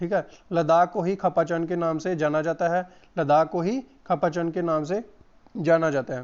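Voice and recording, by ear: A man speaks in a fairly high pitch with a clear, smooth tone. His intonation stays fairly even.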